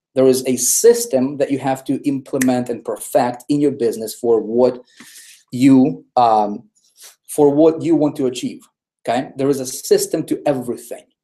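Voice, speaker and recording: A man with a non-native accent speaks in an energetic tone at a moderate pace. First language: not English. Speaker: online marketing trainer. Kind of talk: webinar presentation. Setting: live online broadcast. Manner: energetic, repetitive.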